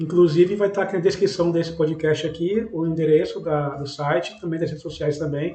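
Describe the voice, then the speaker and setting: A man with a Brazilian accent, high-pitched and fairly quick, hardly pausing, his intonation fairly even over noticeable background noise. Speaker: podcast host. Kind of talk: podcast interview.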